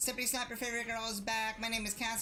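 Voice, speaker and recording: Over noticeable background noise, a woman with a fairly high pitch rattles along at a very fast pace in a monotone, flat intonation. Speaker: VTuber streamer. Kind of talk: casual gaming livestream chat. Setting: livestream. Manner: loud.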